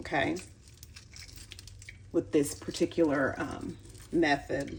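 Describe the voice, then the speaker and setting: A woman speaks in a relaxed tone at a fairly low pitch. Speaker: home cook. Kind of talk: casual cooking tutorial to camera. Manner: relaxed, chatty, with filler words.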